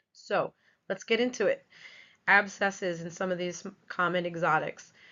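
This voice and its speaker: A woman with a New York accent, medium pitch, fairly even intonation and a moderate pace. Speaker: veterinary technician. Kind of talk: webinar lecture.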